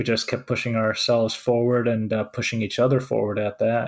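A man with a Finnish accent talks at a medium pitch and a moderate pace, in a monotone, flat intonation. The recording is very clean, with a silent background. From Finland. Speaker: web developer and podcast host. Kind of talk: casual chat.

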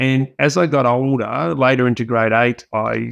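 The speech comes at a fairly slow pace in an Australian accent. Its intonation stays fairly even. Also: man, dry, close sound with no echo. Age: 50s. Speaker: keynote speaker and business leader. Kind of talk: podcast interview.

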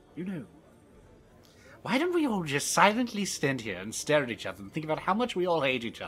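A put-on character voice at a middle pitch, very fast in pace, with very wide pitch swings and long, frequent pauses. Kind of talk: comic fantasy roleplay. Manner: pompous, vain, theatrical.

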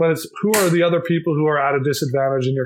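Very fast and somewhat breathy, the voice carries an American accent and ordinary pitch variation. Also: man. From Minnesota, US Midwest. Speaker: company founder. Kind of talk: interview.

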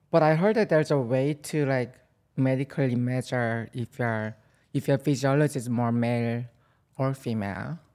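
Her tone dark and mellow and her pitch very deep and low, a woman with a Korean accent speaks at a moderate pace with ordinary pitch variation on a very clean recording with a silent background. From South Korea. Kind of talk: casual chat.

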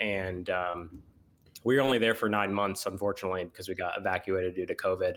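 Over a silent background in a very clean recording, a man talks at a very fast pace with fairly even intonation. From US Midwest, Missouri. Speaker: podcast co-host, instructional designer. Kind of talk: casual chat.

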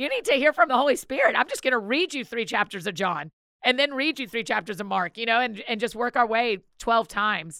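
With an American accent, a woman speaks at a fairly quick pace and fairly high pitch with lively intonation and a bright, sharp tone, in a dry, close sound with no echo on a very clean recording with a silent background. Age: 40s. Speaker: author and podcaster. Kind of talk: interview conversation.

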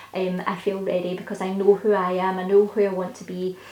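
A woman's medium-pitched voice comes through over noticeable background noise. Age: 30s. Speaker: podcast host. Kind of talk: solo podcast monologue. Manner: casual, with frequent fillers.

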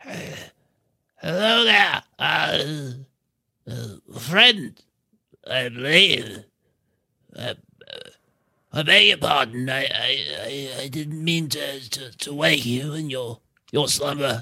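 A man's put-on character voice at a fairly high pitch, very slow pace, with long, frequent pauses. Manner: hesitant, stammering, apologetic.

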